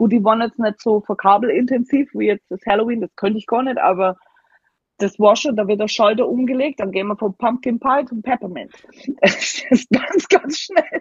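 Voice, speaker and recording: Using a normal speaking voice, a woman with fairly high pitch talks at a moderate pace with lively intonation. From Germany. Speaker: Halloween decorator. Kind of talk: casual chat.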